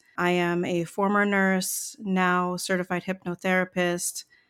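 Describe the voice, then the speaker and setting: In an American accent, a woman speaks at a very slow pace and medium pitch. The recording is very clean with a silent background. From US Midwest, Chicago suburbs. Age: 50s. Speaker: nurse turned therapist-coach. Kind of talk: personal testimony interview.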